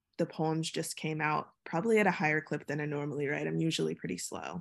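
A woman's very deep, low pitch with fairly even intonation over a quiet background. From Virginia (Chesapeake), US South. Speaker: poet. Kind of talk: casual interview.

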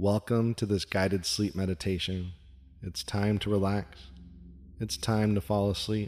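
Fairly low in pitch, a man speaks at a fairly slow pace with ordinary pitch variation in a plain, everyday voice. The recording is very clean and the background silent. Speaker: meditation guide. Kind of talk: guided sleep meditation. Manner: slow, soothing, repetitive.

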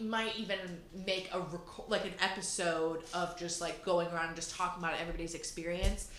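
A woman's medium-pitched voice in an animated tone against noticeable background noise. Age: 20s. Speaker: podcast host. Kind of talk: casual chat.

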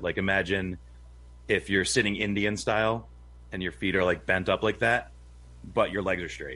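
Vocal fry colors a man's fairly low voice as he talks at a fairly quick pace with ordinary pitch variation, in a very clean recording with a silent background. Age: 40s. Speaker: homesteader. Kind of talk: casual chat.

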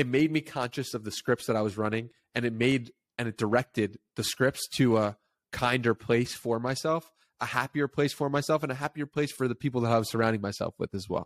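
This is an ordinary speaking voice with fairly even intonation. The recording is very clean, with a silent background. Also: man, dry, close sound with no echo. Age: 20s. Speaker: podcast host. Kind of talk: interview.

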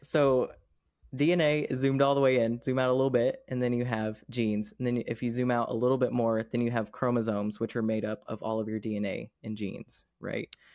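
A man speaks in an ordinary speaking voice at medium pitch and a fairly quick pace. His intonation is fairly even, and the recording is very clean with a silent background. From Oklahoma. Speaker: podcast guest sharing personal experience. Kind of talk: casual chat.

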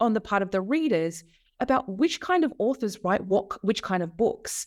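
A woman talks at a moderate pace in an Australian accent. Her pitch swings very widely. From Australia, Melbourne. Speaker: author and media lecturer. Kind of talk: interview.

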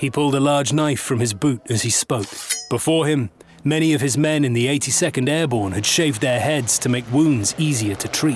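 With crowd noise in the background, a man speaks at a moderate pace. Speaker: documentary narrator. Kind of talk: history documentary narration, scripted and dramatic. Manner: measured, solemn, steady storytelling pace.

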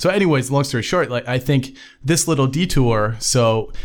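A man is speaking. His pace is moderate. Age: 30s. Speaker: software engineer. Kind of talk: interview. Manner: halting.

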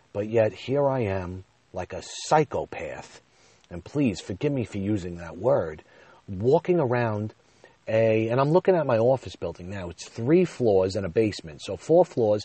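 Pitching his voice at a medium level, a man speaks at a moderate pace with very wide pitch swings and big swings in loudness. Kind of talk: casual solo monologue. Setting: in a car.

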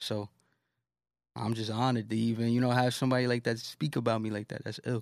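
A man's medium-pitched voice with a New York accent, very fast and monotone, in a very clean recording with a silent background. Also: dry, close sound with no echo. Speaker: rapper. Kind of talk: casual interview. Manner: casual, slang-heavy.

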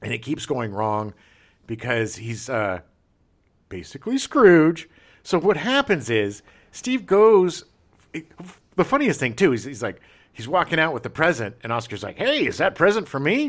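Captured in a very clean recording with a silent background, a man talks at a fairly slow pace and a fairly high pitch, with vocal fry, very wide pitch swings and big swings in loudness. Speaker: podcast host. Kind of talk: casual chat. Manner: animated.

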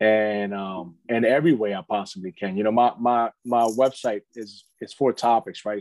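A man speaks at a medium pitch and a moderate pace in a plain, everyday voice. The sound is dry and close, with no echo. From Philadelphia (Kensington, North Philly). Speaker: lineman foreman, Marine veteran. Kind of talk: casual interview.

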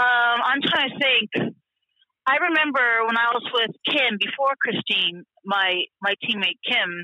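A woman with an ordinary speaking voice talks at a fairly slow pace, her pitch fairly high with ordinary variation and her loudness very even. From South Florida. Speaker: truck driver. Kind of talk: casual interview.

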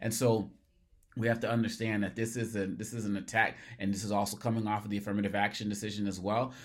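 Speaking very fast, a man with an American accent talks at a fairly low pitch. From US Northeast, Massachusetts (Cambridge). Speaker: podcast host, commentator on race and equity. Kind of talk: solo commentary monologue. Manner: animated, repeats words when starting phrases.

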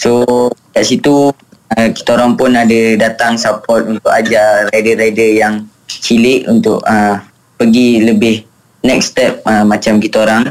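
A man speaks in a medium pitch at a fairly slow pace. His intonation is monotone and flat, and his loudness stays very even. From Malaysia. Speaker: motorcycle racer. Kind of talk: radio interview. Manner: halting, many fillers.

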